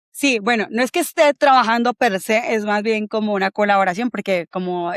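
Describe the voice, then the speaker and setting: There are hardly any pauses as a woman talks fairly quickly in a fairly high voice with ordinary pitch variation and a dry, close sound with no echo. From Colombia. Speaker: bitcoin community organizer. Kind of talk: interview conversation.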